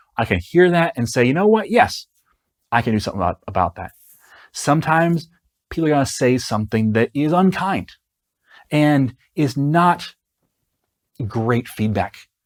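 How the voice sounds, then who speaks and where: Recorded very cleanly with a silent background and a dry, close sound free of echo, a man with a fairly high voice swings his pitch very widely and leaves long, frequent pauses. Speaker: software developer and online educator. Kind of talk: podcast-style advice monologue. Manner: slow.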